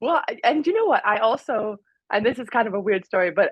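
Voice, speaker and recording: With a fairly high pitch, this woman speaks at a very fast pace. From England, raised in Miami, Florida. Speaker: former pro volleyball player and content creator. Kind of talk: casual interview chat. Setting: podcast.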